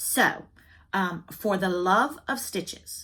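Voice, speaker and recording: A woman is speaking. She has a Southern US accent. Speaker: cross-stitch video blogger. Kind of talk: casual chat. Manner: chatty, talkative.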